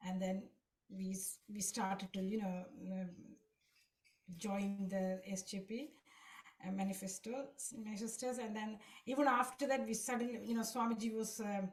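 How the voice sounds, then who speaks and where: Somewhat breathy and medium in pitch, a woman speaks at a moderate pace with fairly even intonation and long, frequent pauses. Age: 60s. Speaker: devotee sharing experience. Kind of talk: testimony. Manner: halting.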